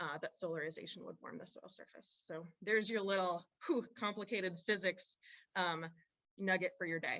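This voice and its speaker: Her loudness swings widely as a woman with a normal speaking voice talks at medium pitch and moderate pace, her intonation fairly even. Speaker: university researcher presenting on farming. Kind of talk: webinar presentation.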